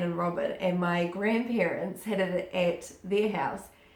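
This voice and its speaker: Noticeable background noise and audible room echo surround a woman whose intonation is fairly even. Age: 20s. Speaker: beauty vlogger. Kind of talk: product review. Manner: chatty.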